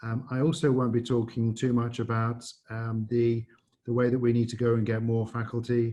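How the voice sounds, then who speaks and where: Somewhat breathy and dark, mellow in tone, a man's voice sits at medium pitch and moves at a moderate pace with monotone, flat intonation. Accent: slight English. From England. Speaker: business school dean. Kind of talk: presentation. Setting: video call.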